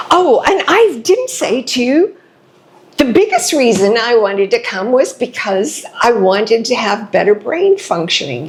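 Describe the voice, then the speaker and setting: A high-pitched woman talks at a fairly slow pace, her pitch swinging very widely. Noticeable background noise runs underneath. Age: 70s. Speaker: patient. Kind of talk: testimonial interview. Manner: halting.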